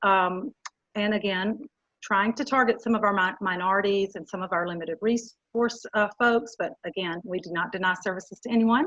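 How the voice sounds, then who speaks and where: Her pace is moderate. The woman's pitch sits in the middle range. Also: ordinary pitch variation. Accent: Southern US. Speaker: youth development educator. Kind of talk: webinar presentation. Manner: halting, many fillers.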